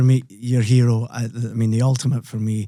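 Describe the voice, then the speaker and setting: A man's medium-pitched voice with a dark, mellow tone and a Scottish accent, at a moderate pace. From Scotland. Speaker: podcast host and rock singer. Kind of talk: casual interview chat, storytelling.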